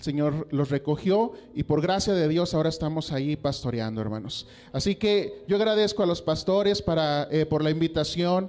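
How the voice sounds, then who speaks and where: Here is a man with an unremarkable speaking voice and a fairly high pitch. He keeps a moderate pace with ordinary pitch variation. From Mexico, Coahuila (US border). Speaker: pastor. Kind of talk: sermon. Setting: church.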